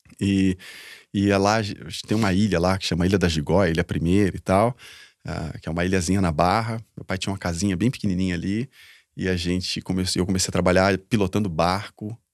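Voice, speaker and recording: In a very clean recording with a silent background and a dry, close sound with no echo, a man speaks at a fairly quick pace with a very deep, low pitch and fairly even intonation. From southern Brazil, interior of Paraná (Londrina). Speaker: social entrepreneur, founder. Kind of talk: interview, life story. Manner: talkative, casual.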